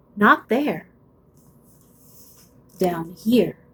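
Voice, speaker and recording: Doing a put-on character voice, a woman sounds creaky at medium pitch. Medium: read story. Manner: slow, sparing, coaxing.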